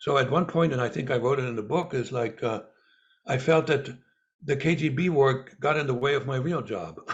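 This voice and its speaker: A man speaks at a fairly quick pace with a fairly high pitch. His voice is somewhat breathy, and its pitch varies in an ordinary way. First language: Russian. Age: 70s. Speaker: former spy and author. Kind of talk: interview. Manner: halting, with many fillers and repeats.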